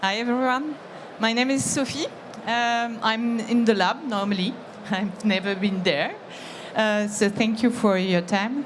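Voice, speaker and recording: Over noticeable background noise and audible room echo, a woman talks at a fairly slow pace with fairly high pitch and ordinary pitch variation. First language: French. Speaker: employee giving testimonial. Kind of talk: testimony. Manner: halting.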